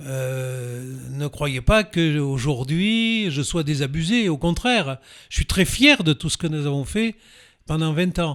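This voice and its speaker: In a very clean recording with a silent background, the speaker goes at a very slow pace with lively intonation. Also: man, fairly high pitch for a man. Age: 70s. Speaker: former mayor, author. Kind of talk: interview. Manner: hesitant, many fillers.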